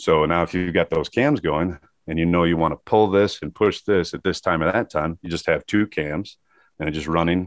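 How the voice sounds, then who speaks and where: A man with a Midwestern American accent and a very deep, low pitch, at a moderate pace with fairly even intonation, over a quiet background. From US Midwest (Michigan). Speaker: metal sculptor. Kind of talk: casual interview chat.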